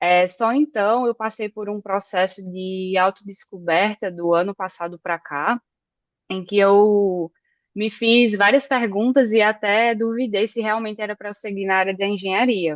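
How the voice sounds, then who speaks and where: Her intonation stays fairly even as this woman speaks in a northeastern Brazilian accent. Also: medium pitch for a woman, fairly slow pace. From Northeast Brazil (Campina Grande, Paraíba). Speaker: electrical engineer. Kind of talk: podcast interview. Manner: hesitant, many fillers.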